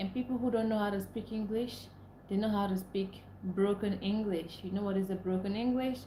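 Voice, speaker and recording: Noticeable background noise and audible room echo fill the recording. A woman speaks at a moderate pace in a medium pitch with monotone, flat intonation. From Nigeria (Igbo). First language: Igbo. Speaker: livestreamer. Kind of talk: live stream chat.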